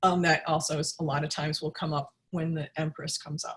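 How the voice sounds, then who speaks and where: In a fairly low, somewhat breathy voice, a woman speaks at a fairly quick pace with monotone, flat intonation. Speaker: tarot reader and teacher. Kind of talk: online class. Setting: video webinar. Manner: halting, many restarts.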